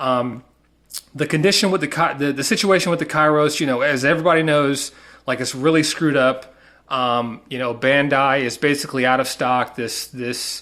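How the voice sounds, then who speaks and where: A bright, sharp tone in a Southern US accent, with fairly even intonation at a moderate pace. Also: man. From US South. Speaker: collector, unboxing video maker. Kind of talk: casual unboxing video. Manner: halting, many fillers.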